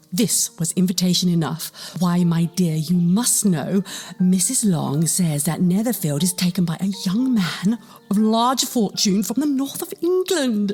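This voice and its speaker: A woman's medium-pitched voice, fairly slow and with lively intonation, with music in the background. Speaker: narrator / voice-over artist. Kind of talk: classic novel reading with character dialogue.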